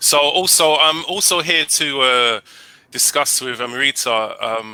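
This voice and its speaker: In a London accent, a man speaks fairly slowly at a medium pitch with ordinary pitch variation. The sound is dry and close, without echo. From England, London. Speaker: English teacher. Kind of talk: casual interview chat.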